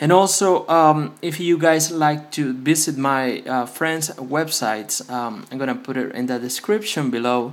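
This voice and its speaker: A man's fairly high voice in a Spanish accent, fairly slow with hardly any pauses and lively intonation. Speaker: phone repair youtuber. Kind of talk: tutorial. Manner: halting, many fillers.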